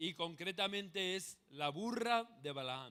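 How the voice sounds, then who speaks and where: The tone is bright and sharp, in a Spanish accent. It comes on a very clean recording with a silent background. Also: man. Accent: Spanish (Spain). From Spain. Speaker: pastor. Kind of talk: sermon.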